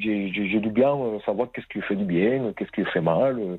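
Pitched fairly low, a man speaks with ordinary pitch variation. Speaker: caller. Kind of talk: testimony. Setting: phone call. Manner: halting.

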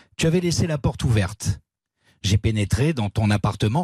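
A somewhat breathy, fairly low-pitched male voice at a moderate pace, dry and close with no echo, over a quiet background. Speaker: radio columnist. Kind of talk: reading aloud. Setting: studio.

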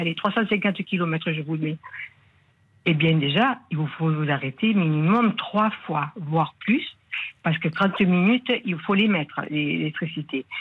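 A woman with a southern French accent talks very slowly at a fairly low pitch, with ordinary pitch variation. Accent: southern French, sing-song. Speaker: caller, winegrower. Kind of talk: radio call-in. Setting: phone call.

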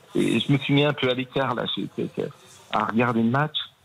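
A man keeps to a moderate pace, with noticeable noise going on behind him. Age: 50s. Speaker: Nantes fan, radio contributor. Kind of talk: emotional testimony.

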